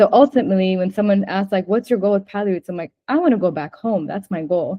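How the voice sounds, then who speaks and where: The pace is very fast. She is a woman whose pitch shifts in an ordinary way. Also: medium pitch for a woman. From United States. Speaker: fashion designer, brand co-founder. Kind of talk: interview.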